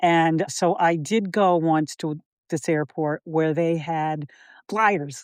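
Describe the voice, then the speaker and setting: A woman with an American accent speaks at a very slow pace. The background is quiet, and the sound is dry and close with no echo. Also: fairly low pitch for a woman. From Massachusetts, Springfield. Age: 70s. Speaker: firefighter's wife. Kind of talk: casual chat. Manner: animated.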